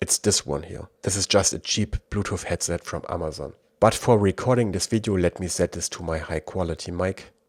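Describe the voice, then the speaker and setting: Fairly quick speech in a German accent with hardly any pauses, ordinary pitch variation, a dry, close sound with no echo and a very clean recording over a silent background. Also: man, very deep, low pitch for a man. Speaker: tech reviewer. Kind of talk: tutorial.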